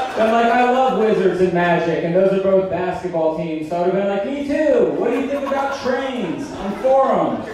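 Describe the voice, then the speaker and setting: A man at a moderate pace, hardly any pauses, strong room echo and noticeable background noise. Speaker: stand-up comedian. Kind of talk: stand-up comedy set. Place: stage.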